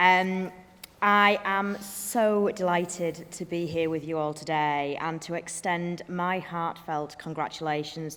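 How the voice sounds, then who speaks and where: Speaking in a northern English accent, a woman keeps a fairly slow pace. Her voice is fairly low, and her intonation stays fairly even. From northern England. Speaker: business executive and graduation speaker. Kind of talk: ceremonial speech. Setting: graduation hall with audience.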